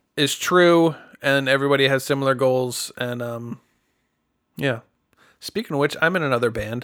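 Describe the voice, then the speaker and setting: A man speaks at a moderate pace with long, frequent pauses. His pitch is fairly high, with ordinary variation. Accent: American. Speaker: singer-songwriter. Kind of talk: casual chat.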